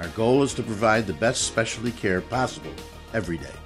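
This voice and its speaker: A man talking at a very fast pace with lively intonation over clear music in the background. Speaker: voice actor. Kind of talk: TV commercial read.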